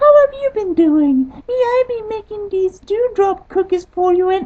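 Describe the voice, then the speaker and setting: A put-on character voice, squeaky and extremely high in pitch. It moves along at a moderate pace. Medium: read story.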